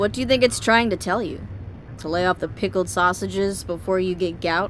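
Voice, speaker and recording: An American-accented woman speaks fairly quickly at a medium pitch with ordinary pitch variation. Vocal fry runs through her voice. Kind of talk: audio drama narration.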